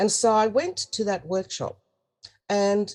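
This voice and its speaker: Fairly slow speech in an Australian accent. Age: 70s. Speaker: spiritual teacher, goddess priestess. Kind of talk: interview.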